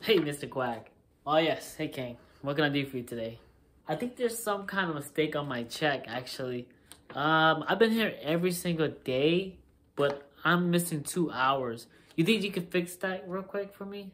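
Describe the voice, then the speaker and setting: Moderately paced, a man speaks with lively intonation. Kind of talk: comedic acted dialogue. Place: home room. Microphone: phone near.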